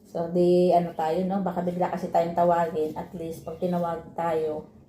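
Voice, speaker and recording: Over noticeable background noise, a woman speaks at a moderate pace with fairly low pitch and monotone, flat intonation. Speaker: vlogger, overseas worker. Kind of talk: casual mukbang vlog.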